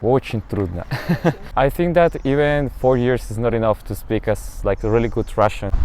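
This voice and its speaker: Man with a Spanish accent, medium pitch with ordinary variation, at a moderate pace. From Colombia. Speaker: international master's student. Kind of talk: interview monologue.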